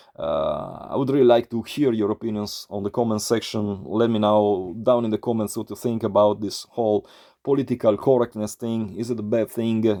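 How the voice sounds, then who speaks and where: The speaker talks with an Italian accent and hardly any pauses. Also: man, medium pitch for a man, fairly even intonation, moderate pace. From Italy. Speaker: YouTuber, metal vinyl collector. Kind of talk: casual vlog monologue. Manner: halting, many fillers.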